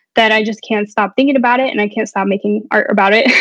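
With a Texan accent, a woman talks with fairly even intonation. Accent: Texan American. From Texas, Dallas. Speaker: artist and art professor. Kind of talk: interview.

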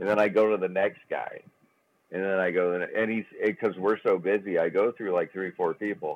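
In a normal speaking voice, a man with a fairly low pitch talks at a fairly quick pace. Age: 40s. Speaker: golf club sales rep, podcast co-host. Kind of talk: casual chat. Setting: phone call. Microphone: sounds gargly on the phone.

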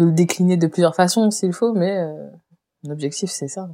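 The pitch varies in an ordinary way while the speech keeps a moderate pace. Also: woman. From Réunion. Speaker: painter and illustrator. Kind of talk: interview conversation. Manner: hesitant, many fillers.

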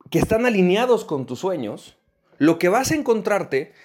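A man speaks at a moderate pace with lively intonation and a high pitch. The recording is very clean, with a silent background. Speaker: podcast host and business coach. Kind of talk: motivational podcast monologue.

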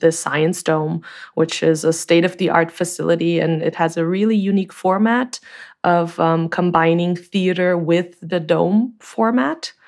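Over a quiet background, a woman with a Portuguese accent speaks fairly slowly at a fairly low pitch, with fairly even intonation and very even loudness. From Brazil. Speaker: sound designer, company co-founder. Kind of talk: interview.

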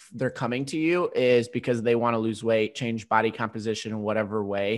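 On a very clean recording with a silent background, a man talks at a moderate pace in a plain, everyday voice, medium in pitch with fairly even intonation. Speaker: fitness podcast host. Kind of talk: casual chat.

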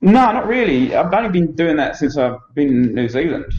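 Speaking very fast with lively intonation, a man talks in an Essex accent. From England, Essex. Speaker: dog trainer. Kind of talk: casual chat.

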